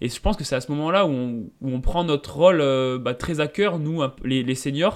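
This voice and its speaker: This man talks at a moderate pace, his fairly high pitch showing ordinary pitch variation. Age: 20s. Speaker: mountain runner and software engineer. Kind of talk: interview. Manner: hesitant, many fillers.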